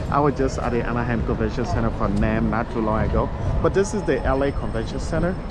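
Over clear background music, a man speaks very fast in a dry recording with no echo. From Liberia. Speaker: YouTube vlogger. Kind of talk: live-streamed walking vlog with street interviews. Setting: outdoors, walking city streets and convention center. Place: street. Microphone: phone near.

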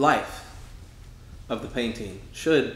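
In a room with audible echo, a man speaks at a very slow pace. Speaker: painter; author. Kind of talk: casual explanation of own artwork. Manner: hesitant, many fillers. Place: home room.

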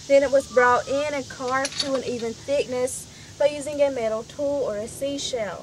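With noticeable background noise behind it, the voice moves at a moderate pace with ordinary pitch variation. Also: woman, high pitch for a woman. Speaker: village tour guide. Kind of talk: guided tour explanation. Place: forest.

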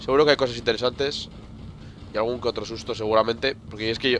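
Very fast male speech over noticeable background noise. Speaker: gaming video creator. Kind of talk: let's play commentary. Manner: animated, exclamatory at scary moments.

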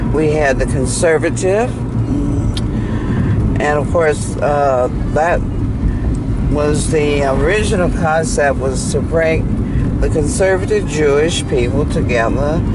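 Amid loud background noise, a woman talks at a very slow pace with long, frequent pauses and a dry sound with no echo. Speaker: local guide driving. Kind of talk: interview answer. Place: car. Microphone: camera far.

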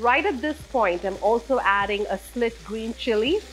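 Light background noise sits under a woman who speaks at a moderate pace. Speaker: home cook host. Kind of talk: cooking tutorial. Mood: calm, friendly. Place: home room.

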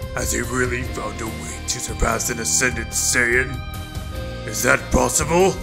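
A man puts on a character voice with a very deep, low pitch at a fairly slow pace. Loud music plays in the background. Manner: shocked.

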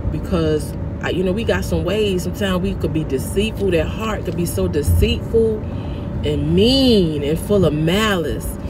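A woman speaks at a fairly slow pace while noticeable background noise carries on behind her. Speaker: vlogger. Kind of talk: casual vlog chat with preaching tone. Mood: earnest, spiritual. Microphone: phone near.

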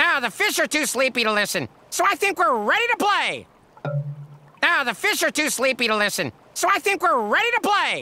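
This cartoonish character voice has a bright, sharp tone and big pitch swings at a moderate pace.

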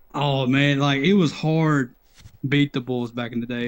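In an East Tennessee accent, a man talks fairly quickly at a medium pitch. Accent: US Southern (East Tennessee). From Knoxville, Tennessee. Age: 30s. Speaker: viewer joining on call; retro gaming streamer. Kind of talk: casual chat. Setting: Discord voice call. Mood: relaxed, nostalgic. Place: home room.

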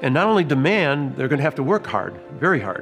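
The speaker is a man going at a very fast pace. Music can be heard clearly behind him. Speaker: museum guide or historian in period costume. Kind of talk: interview answer. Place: hall.

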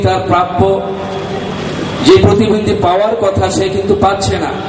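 A man speaks at a high pitch. There is audible room echo and noticeable background noise. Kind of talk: public speech. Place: hall. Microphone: camera far.

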